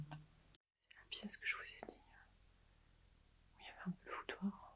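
Here a woman whispers. Her pace is fairly slow.

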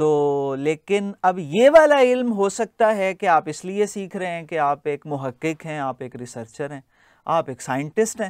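Over a quiet background, a man speaks at a fairly slow pace with lively intonation and big swings in loudness. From Pakistan. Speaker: linguistics lecturer. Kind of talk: lecture. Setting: classroom. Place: classroom. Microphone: lapel.

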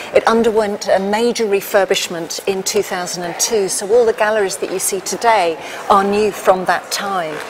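Moderate-paced speech with noticeable background noise. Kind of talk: interview answer. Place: hall.

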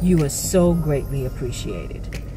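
At a moderate pace, a woman talks with noticeable background noise around her. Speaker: vlogger. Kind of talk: casual talk to camera. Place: car. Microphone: phone near.

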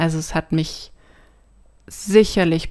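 Recorded very cleanly against a silent background, her speech has fairly even intonation. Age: 30s. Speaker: podcast guest with chronic back problems. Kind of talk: personal testimony in interview.

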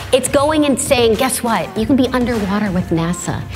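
A woman talks at a fairly quick pace with very wide pitch swings. Clear music plays behind her. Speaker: tech expert and event host. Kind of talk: keynote speech. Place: stage.

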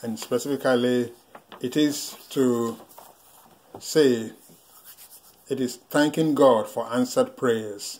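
A man's slightly mellow voice at a slow pace

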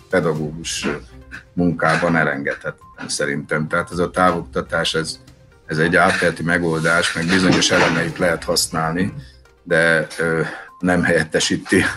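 A man speaks at a moderate pace. Music plays clearly in the background. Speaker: school teacher. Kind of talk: interview answer. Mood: calm, thoughtful. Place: shop. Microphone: video call.

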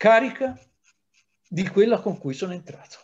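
The background is quiet. Against it, a man talks in a high pitch. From Italy, Livorno; Italy. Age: 60s. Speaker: historian; historian lecturing teachers. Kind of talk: lecture. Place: home room. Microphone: webcam.

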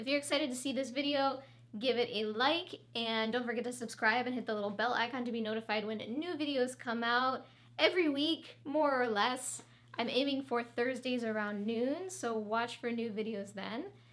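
With a high pitch and ordinary pitch variation, a woman speaks at a moderate pace. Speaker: fashion tutor. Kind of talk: tutorial. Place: studio.

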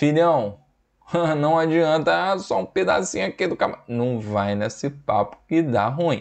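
A man's fairly high voice, fairly slow and with very wide pitch swings, over a quiet background. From Brazil, Espírito Santo (Vila Velha); Espírito Santo, Brazil. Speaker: biology teacher. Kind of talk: lecture. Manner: animated.

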